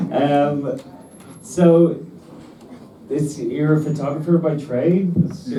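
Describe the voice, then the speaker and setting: Over noticeable background noise, a man talks at a very slow pace with long, frequent pauses. His pitch is fairly high, with ordinary pitch variation. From Dublin. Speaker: interviewer, Q&A moderator.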